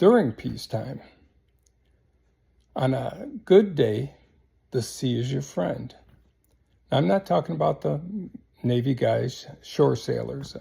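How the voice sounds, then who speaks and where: A man with an American accent speaks at a very slow pace. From US small town. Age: 70s. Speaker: military veteran. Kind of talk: casual monologue. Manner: halting.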